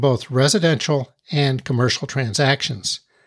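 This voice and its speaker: A man's fairly high voice, a normal speaking voice at a moderate pace, dry and close with no echo, on a very clean recording with a silent background. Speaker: podcast host. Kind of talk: scripted podcast intro and interview. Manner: formal.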